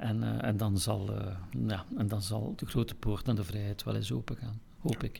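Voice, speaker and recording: With vocal fry and a dark, mellow tone, a man speaks fairly slowly at a fairly low pitch, his pitch varying in an ordinary way. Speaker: musical director. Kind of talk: casual chat. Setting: recorded in Kortrijk.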